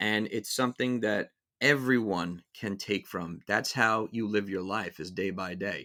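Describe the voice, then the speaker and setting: In a New York accent, a man speaks at a fairly slow pace in a bright, sharp, fairly low voice with ordinary pitch variation. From New York City (Brooklyn and Queens). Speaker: music podcast host. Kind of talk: casual monologue. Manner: halting, many fillers and repeats.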